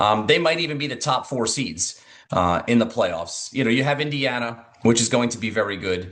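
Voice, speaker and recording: A plain, everyday voice, a man's at medium pitch, with lively intonation at a moderate pace. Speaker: sports radio broadcaster and studio host. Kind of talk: interview answer, sports analysis.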